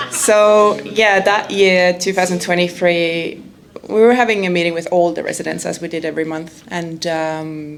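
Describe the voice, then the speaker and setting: Noticeable background noise and audible room echo surround a woman's fairly low-pitched voice. She speaks at a moderate pace with fairly even intonation. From Estonia. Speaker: documentary filmmaker. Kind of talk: audience Q&A. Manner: hesitant.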